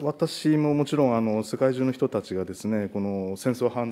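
At a fairly quick pace, a man speaks with a dark, mellow tone and ordinary pitch variation. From Japan. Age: 40s. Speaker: national legislator. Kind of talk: parliamentary questioning. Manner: formal. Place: meeting room. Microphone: podium.

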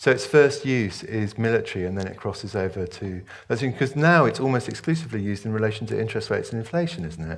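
Very fast and with lively intonation, a man speaks in a British accent. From Hong Kong, British expatriate. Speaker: author. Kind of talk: onstage interview and Q&A. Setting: stage with audience. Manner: hesitant, repeats words when starting. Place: hall. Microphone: headset.

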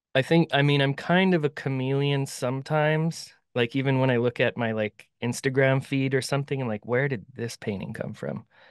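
With an American accent, the speaker moves at a fairly quick pace with hardly any pauses and fairly even intonation, in a dry sound with no echo against a quiet background. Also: man. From US Upper Midwest (Bismarck, North Dakota); North Dakota. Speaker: painter and art mentor; guest. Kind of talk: interview conversation. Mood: relaxed, friendly. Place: home room. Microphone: studio mic.

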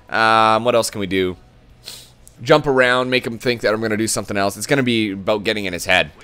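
A man speaks at a very fast pace in a medium pitch with ordinary pitch variation, and music plays in the background. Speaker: gaming video creator. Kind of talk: live gameplay commentary. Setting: recording while playing online. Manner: animated.

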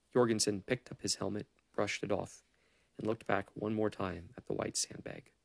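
A natural voice, reading aloud

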